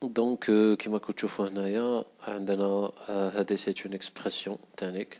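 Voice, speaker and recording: The speaker is a man. His pitch sits fairly low. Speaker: programming instructor. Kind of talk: tutorial screencast narration.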